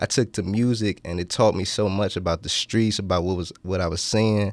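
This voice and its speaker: A man with an unremarkable speaking voice, fairly low in pitch, talks at a fairly quick pace with fairly even intonation. The recording is very clean, with a silent background. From Washington DC area (DMV). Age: 20s. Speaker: rapper. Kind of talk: radio interview. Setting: college radio studio.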